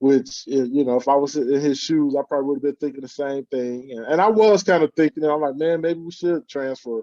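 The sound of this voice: Speaking at a fairly quick pace with few pauses, a man has a medium pitch, ordinary pitch variation, and a dark, mellow tone.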